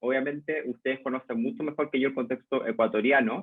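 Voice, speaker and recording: Speaking at a fairly quick pace, a man with a Chilean accent shows ordinary pitch variation. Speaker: lecturer, journalist and communication researcher. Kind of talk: lecture. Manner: hesitant fillers (eh, em).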